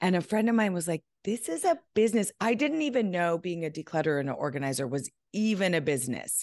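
Her pitch is fairly low for a woman, with very wide swings up and down. She speaks at a very fast pace against a quiet background. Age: 50s. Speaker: decluttering expert and author. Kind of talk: casual chat.

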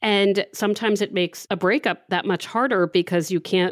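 A woman with an American accent talks at a fairly quick pace in an ordinary speaking voice, recorded very cleanly against a silent background with a dry, close sound and no echo. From Maryland. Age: 40s. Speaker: advice columnist and podcast host. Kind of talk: casual chat.

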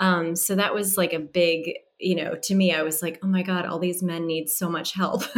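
Her fairly low voice keeps a monotone, flat intonation as the woman talks at a moderate pace. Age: 40s. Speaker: stylist and dating coach. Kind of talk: casual chat.

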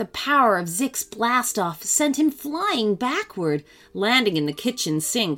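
What you hear is a natural reading voice.

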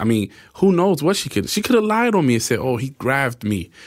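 On a very clean recording with a silent background, a man in a normal speaking voice talks at a fairly quick pace with lively intonation. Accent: American. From New York City, Spanish Harlem. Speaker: exonerated man. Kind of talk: interview.

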